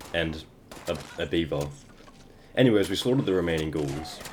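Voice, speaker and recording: A man's very deep, low voice at a very fast pace. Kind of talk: gameplay voiceover narration. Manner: stuttering.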